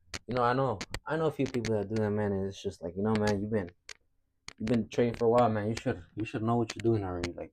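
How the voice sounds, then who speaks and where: A man talks at a very fast pace in a fairly low pitch. His intonation is fairly even. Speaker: trader. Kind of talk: casual talk to camera. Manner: casual, repetitive, stuttering.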